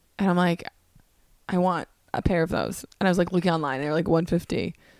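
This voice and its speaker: A woman with a fairly low voice and vocal fry talks at a fairly quick pace with ordinary pitch variation, the sound dry and close with no echo. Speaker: comedian and podcast host. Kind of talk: casual chat.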